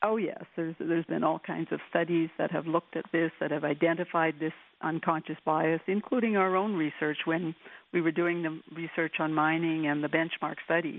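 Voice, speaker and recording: Flat, monotone intonation in a fairly low female voice. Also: moderate pace. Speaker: women's equality advocate. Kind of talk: interview.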